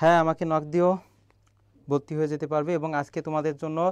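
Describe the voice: Speaking at a fairly quick pace, a man has a fairly high pitch with little movement. His tone is clear and smooth.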